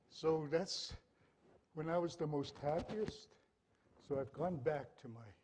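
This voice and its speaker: A man's fairly high voice with ordinary pitch variation and long, frequent pauses, plus audible room echo. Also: fairly slow pace. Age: 60s. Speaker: dancer and elder. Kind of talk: stage talk.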